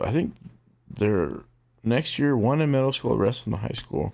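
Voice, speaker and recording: Loud and at a medium pitch, a man's voice makes very wide pitch swings in a very clean recording with a silent background. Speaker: streamer. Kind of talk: casual chat.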